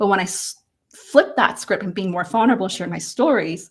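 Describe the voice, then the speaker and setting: At a very fast pace, a somewhat breathy woman speaks with a medium pitch and ordinary pitch variation. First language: not English. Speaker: personal branding expert and speaker. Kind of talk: panel discussion on livestream.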